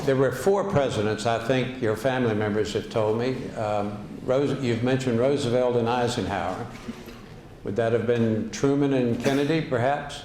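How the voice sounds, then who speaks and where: Through noticeable background noise, a man with an American accent speaks at a medium pitch and a moderate pace. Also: ordinary pitch variation. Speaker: former governor. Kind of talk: interview questions.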